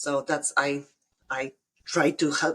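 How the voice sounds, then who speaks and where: This is a woman speaking. She has a Polish accent. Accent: Polish accent, noticeable. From Poland. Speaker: bookkeeper, business owner. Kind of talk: casual podcast interview. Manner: halting, many fillers and restarts.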